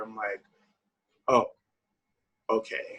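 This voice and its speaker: The speaker has a Haitian accent. The pace is fairly slow. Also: man. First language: Haitian Creole. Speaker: singer-songwriter. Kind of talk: interview answer.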